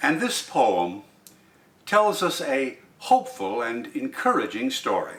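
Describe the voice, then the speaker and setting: Speech comes at a fairly slow pace over noticeable background noise. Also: man. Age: old. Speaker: poetry reader. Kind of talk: poetry commentary.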